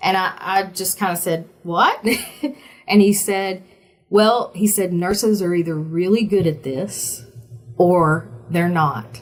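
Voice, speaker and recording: With a Southern US accent, a woman of medium pitch speaks very slowly with ordinary pitch variation and long, frequent pauses while music plays in the background. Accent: Southern US accent, less thick than before. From small-town Virginia. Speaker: oncology sales representative, former nurse. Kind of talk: interview. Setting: podcast. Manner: animated.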